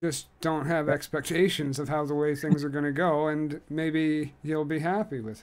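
This man has an ordinary speaking voice, fairly high in pitch, with fairly even intonation. He keeps a moderate pace with hardly any pauses. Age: 30s. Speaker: podcast host. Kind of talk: casual interview. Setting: video call.

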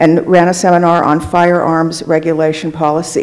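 The woman's pitch is fairly low. She talks at a moderate pace. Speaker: event moderator. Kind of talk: formal event introduction. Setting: live event with audience. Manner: formal. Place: hall. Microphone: podium.

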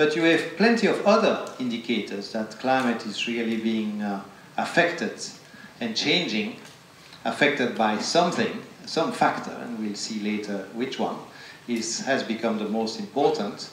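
Lively in his intonation, a man talks at a moderate pace amid light background noise and audible room echo. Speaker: invited lecturer. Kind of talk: lecture. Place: hall.

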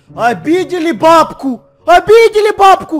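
This man performs a put-on character voice. His pitch sits extremely high, and his tempo stays moderate. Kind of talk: theatrical, comic. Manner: mock crying, wailing, lamenting.

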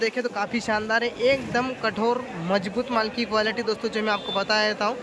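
Noticeable background noise, dry sound with no echo, and a man talking at a moderate pace. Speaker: market price vlogger. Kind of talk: market report commentary. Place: market. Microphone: phone near.

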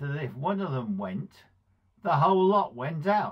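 A man is heard against a quiet background. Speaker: speaker. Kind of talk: devotional talk with personal story. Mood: warm, fond storytelling. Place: home room. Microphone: phone near.

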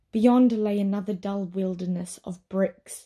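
A woman's somewhat breathy, dark and mellow voice at medium pitch, flat and monotone, on a very clean recording with a silent background. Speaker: voice actor. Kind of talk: audiobook narration.

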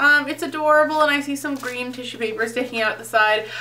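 A woman speaks. Her voice is raised and projected. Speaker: beauty YouTuber. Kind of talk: product unboxing review. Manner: casual, filler-heavy. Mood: cheerful, enthusiastic. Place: home room. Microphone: phone near.

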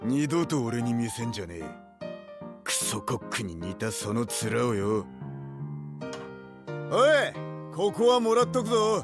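A man uses a put-on character voice at a fairly slow pace. Clear music plays in the background. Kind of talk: video game voice lines. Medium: video game. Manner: rough, blunt.

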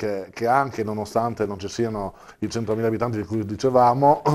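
This man has an unremarkable speaking voice, fairly low in pitch, with ordinary pitch variation and a moderate pace. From Trieste, Italy. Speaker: district council member. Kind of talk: TV interview discussion. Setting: studio. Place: studio. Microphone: lapel.

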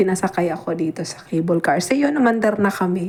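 Over noticeable background noise, a woman talks at medium pitch. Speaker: travel vlogger. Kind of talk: travel vlog narration.

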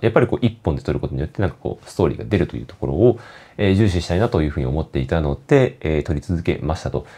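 Very fast and very deep, this man's voice has a dark, mellow tone, vocal fry and very wide pitch swings. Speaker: photography vlogger. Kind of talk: casual monologue vlog. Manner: talkative, many fillers.

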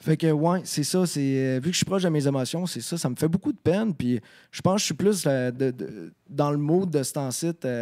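Against a quiet background, a man with a fairly high pitch and a dark, mellow tone talks at a moderate pace with ordinary pitch variation. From Quebec. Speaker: rock singer; podcast guest. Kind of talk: casual chat. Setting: studio. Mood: relaxed, reflective. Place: studio. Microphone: handheld.

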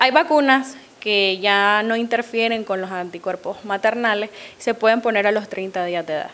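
A woman's voice comes through at a moderate pace. Its pitch rises and falls in an ordinary way. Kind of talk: interview answer. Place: office. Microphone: handheld.

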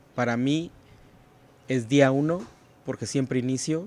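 This man talks at a fairly slow pace, with long, frequent pauses. His voice sits at a medium pitch with ordinary pitch variation, and the sound is dry with no echo. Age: 40s. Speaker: financial advisor and entrepreneur; podcast guest. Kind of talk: interview conversation. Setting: hotel recording location. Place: open country. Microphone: studio mic.

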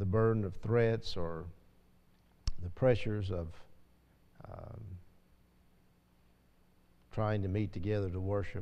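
Fairly low and dark, mellow in tone, a man's voice keeps a fairly even intonation. He talks at a fairly slow pace with long, frequent pauses. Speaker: class teacher at a church. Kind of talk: casual class talk then spoken prayer. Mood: light chat, then solemn prayer. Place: church.

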